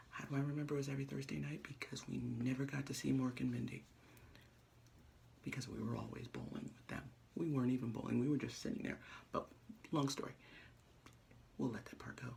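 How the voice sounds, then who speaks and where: A soft-spoken, whispering man at a very fast pace, with big swings in loudness and long, frequent pauses. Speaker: vlogger. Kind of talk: casual vlog monologue. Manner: soft-spoken, near whisper.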